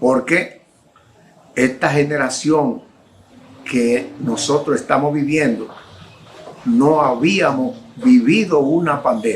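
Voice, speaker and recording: A man with a fairly high voice speaks at a very slow pace, with lively intonation, very even loudness and long, frequent pauses. Audible room echo and noticeable background noise are present. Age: 60s. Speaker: preacher. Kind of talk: sermon.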